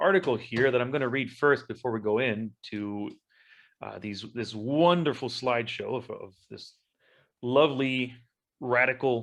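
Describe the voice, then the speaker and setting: The delivery is fairly slow, with big swings in loudness. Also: man. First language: Spanish. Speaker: podcast host. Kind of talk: casual chat.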